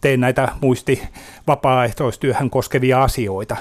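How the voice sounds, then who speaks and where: Very slowly, a man speaks at medium pitch. The recording is very clean, with a silent background. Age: 50s. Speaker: memory disease patient advocate. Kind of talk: radio interview. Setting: studio. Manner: halting.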